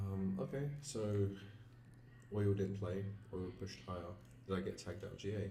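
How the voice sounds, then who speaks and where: A man speaks quietly at a fairly low pitch and a moderate pace, with lively intonation, long, frequent pauses, music in the background and audible room echo. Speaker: forex trader streamer. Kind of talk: live trading stream commentary. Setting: live stream. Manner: quiet, low energy. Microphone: mic moved closer; audio was quiet.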